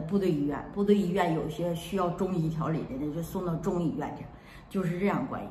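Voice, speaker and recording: A woman with a Northeastern Chinese accent speaks at a fairly low pitch with fairly even intonation. Audible room echo and light background noise are present. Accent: Northeastern Mandarin. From Heilongjiang, Northeast China (rural). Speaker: video blogger; storyteller recalling family past. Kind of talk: casual vlog storytelling. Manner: chatty, talkative. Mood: calm, reminiscing. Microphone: phone near.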